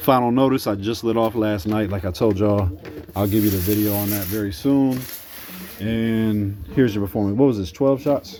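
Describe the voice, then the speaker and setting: Moderate-paced speech from a man, noticeable background noise present. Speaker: fireworks hobbyist vlogger. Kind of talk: casual product review.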